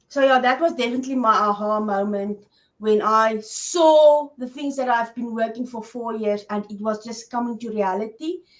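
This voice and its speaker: The speech moves at a moderate pace with hardly any pauses. Loudness swings widely, while pitch variation stays ordinary. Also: woman, fairly high pitch for a woman. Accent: South African. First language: Afrikaans. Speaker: online business coach for women. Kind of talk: interview.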